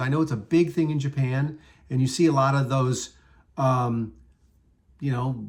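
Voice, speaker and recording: This man's medium-pitched voice sounds somewhat breathy, and his intonation stays fairly even. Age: 60s. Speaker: entertainment industry worker. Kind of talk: casual talk to camera. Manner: hesitant, rambling.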